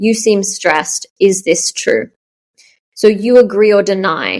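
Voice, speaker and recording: With an Australian accent, a woman speaks at medium pitch and with fairly even intonation. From Australia, Melbourne. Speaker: startup founder. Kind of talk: interview. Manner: fast.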